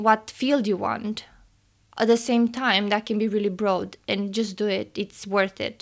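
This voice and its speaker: On a very clean recording with a silent background, a woman with a Romanian accent speaks at a fairly slow pace and a fairly high pitch. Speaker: engineering student and podcast co-host. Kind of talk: casual interview chat.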